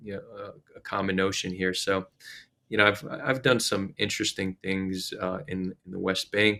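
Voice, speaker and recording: On a very clean recording with a silent background, a man with an American accent speaks at a moderate pace in a fairly low, bright, sharp voice with fairly even intonation. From US Northeast (New Jersey). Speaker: activist, ex-soldier. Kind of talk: interview.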